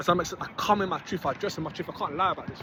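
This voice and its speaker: A loud, animated man with a high pitch, over noticeable background noise. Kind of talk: motivational monologue.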